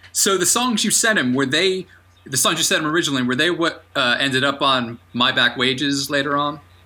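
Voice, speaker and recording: Over noticeable background noise, a man with a fairly high pitch talks at a fairly quick pace, keeping his loudness very even and his pitch variation ordinary. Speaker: podcast host and music writer. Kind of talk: scripted intro then interview.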